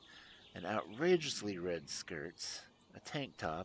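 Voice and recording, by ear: A passage of reading aloud in a natural voice.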